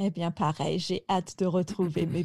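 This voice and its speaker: With a fairly low pitch, a dark, mellow tone and a somewhat breathy quality, a woman speaks at a fairly slow pace and with fairly even intonation in a very clean recording with a silent background. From France, Picardy. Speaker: French teacher. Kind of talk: interview.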